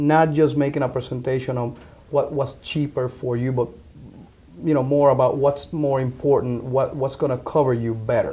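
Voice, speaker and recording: A man speaks with a Spanish accent at a moderate pace. His intonation is monotone and flat. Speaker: insurance agent. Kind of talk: interview. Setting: insurance office.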